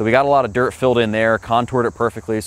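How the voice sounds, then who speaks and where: A man speaks very fast, the sound dry with no echo. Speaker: presenter. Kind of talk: job recap commentary. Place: garden.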